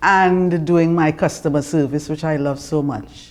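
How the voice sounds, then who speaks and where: A woman with a Trinidadian accent speaks at a very deep, low pitch with ordinary pitch variation. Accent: Trinidad and Tobago English. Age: 70s. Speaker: retired customer relations manager. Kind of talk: interview; reading aloud.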